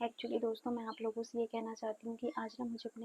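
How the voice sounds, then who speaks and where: Soft-spoken and fairly high in pitch, a woman talks in a dry, close sound with no echo. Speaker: vlogger. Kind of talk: personal vlog. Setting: at home. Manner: soft-spoken, quiet.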